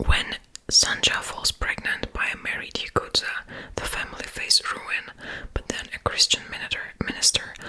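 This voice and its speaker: A woman is whispering at a fairly slow pace against noticeable background noise. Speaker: ASMR content creator. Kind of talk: reading a book blurb aloud. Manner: whispered, soft-spoken.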